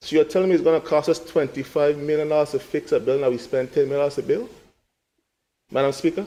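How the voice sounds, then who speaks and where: With a dark, mellow tone, a man talks at a very fast pace, his pitch varying in an ordinary way. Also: fairly high pitch for a man. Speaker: legislator. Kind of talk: parliamentary budget debate speech. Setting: parliament chamber. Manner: repetitive, emphatic address.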